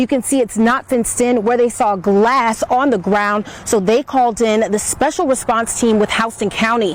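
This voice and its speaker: The speaker has an American accent and hardly any pauses. Noticeable background noise runs underneath. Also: woman, fairly high pitch for a woman, ordinary pitch variation, moderate pace. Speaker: television news reporter and anchor. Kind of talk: live TV news reporting.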